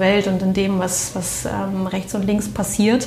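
A woman talks at a fairly slow pace over noticeable background noise, with audible room echo. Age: 30s. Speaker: management consultant, former intensive care nurse. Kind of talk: interview. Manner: hesitant, many fillers.

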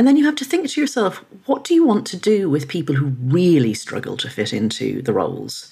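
Her voice fairly low with a dark, mellow tone and vocal fry, a woman talks at a fairly quick pace with very wide pitch swings. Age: 50s. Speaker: journalist and author. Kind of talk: interview.

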